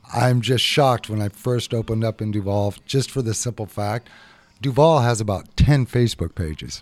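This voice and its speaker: In a very clean recording with a silent background, a man with an American accent and a plain, everyday voice speaks at a moderate pace and medium pitch with ordinary pitch variation. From Seattle, Ballard. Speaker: chef and restaurant owner. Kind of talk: radio interview.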